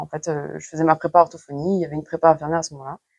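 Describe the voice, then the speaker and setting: A woman talks with a dry, close sound that carries no echo. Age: 30s. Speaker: nurse and trainee Chinese medicine practitioner. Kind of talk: interview. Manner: hesitant with frequent fillers.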